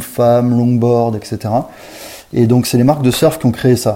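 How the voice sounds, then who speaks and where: Speaking fairly slowly, a man uses a medium pitch. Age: 30s. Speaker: marketing director for a surf brand. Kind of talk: interview. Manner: halting, with frequent repetitions and fillers.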